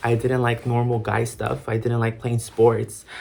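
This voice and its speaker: At a moderate pace, a man talks in a medium-pitched, somewhat breathy voice. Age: 20s. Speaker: theater student. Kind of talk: casual talk to camera.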